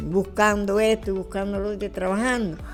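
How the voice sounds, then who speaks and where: A woman with a Cuban accent, music in the background. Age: 80s+. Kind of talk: interview answer, reminiscing.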